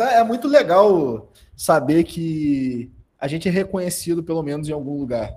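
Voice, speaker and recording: Dark, mellow tone with lively intonation at a moderate pace. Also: man, high pitch for a man. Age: 20s. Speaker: content creator and marketing consultant. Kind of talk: casual chat.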